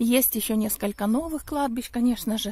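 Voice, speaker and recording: A woman's high voice with a dark, mellow tone moves at a moderate pace with ordinary pitch variation, the sound dry with no echo. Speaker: vlogger. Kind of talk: casual vlog storytelling. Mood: calm, reminiscing. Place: open country. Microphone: phone near.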